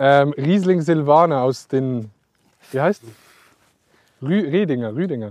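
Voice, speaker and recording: The speech moves at a very slow pace with ordinary pitch variation and long, frequent pauses. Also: man, fairly high pitch for a man. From Switzerland. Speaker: podcast host. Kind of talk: casual chat. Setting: outdoors in vineyards.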